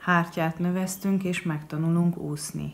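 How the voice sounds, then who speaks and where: The speaker has a Hungarian accent. The intonation is monotone and flat. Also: woman. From Hungary. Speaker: poet. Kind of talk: poetry reading. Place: home room. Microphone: webcam.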